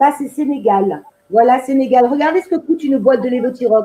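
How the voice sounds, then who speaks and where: Her pitch is high and varies in an ordinary way. The woman talks at a fairly slow pace. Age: 60s. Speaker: activist and patient. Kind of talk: testimony.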